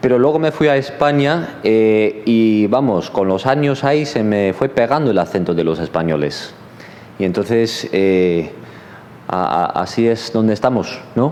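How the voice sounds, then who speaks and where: At a fairly slow pace, a man speaks in a medium pitch with lively intonation. His loudness stays very even, with noticeable background noise. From Los Angeles, US. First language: English (speaking Spanish). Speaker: seminary professor. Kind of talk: sermon. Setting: church. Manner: hesitant, many fillers.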